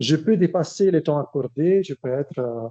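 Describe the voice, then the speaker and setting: Speaking slowly in an Italian accent, a man with a dark, mellow tone uses a fairly high pitch with ordinary variation at a fairly slow pace. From Italy. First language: Italian (speaking French). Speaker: academic researcher. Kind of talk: lecture. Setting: seminar with audience. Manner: hesitant, many fillers.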